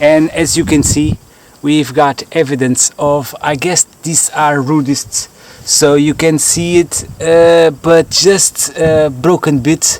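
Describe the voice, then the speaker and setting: A man's fairly high voice at a very slow pace, in a Portuguese accent with fairly even intonation, over noticeable background noise. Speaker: fossil hunter vlogger. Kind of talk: outdoor vlog narration. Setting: outdoors. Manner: halting, many fillers.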